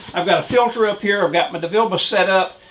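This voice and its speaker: A high-pitched man's voice with ordinary pitch variation against noticeable background noise. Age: 70s. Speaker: retired Marine doing hobby auto painting. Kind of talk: tutorial. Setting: home workshop. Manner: hesitant, many filler words.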